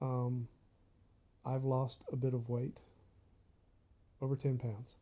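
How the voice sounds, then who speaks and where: A man at medium pitch speaks at a very slow pace in a monotone, flat intonation, sounding somewhat breathy. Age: 60s. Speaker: vlogger sharing surgery recovery. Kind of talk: informal health vlog from notes.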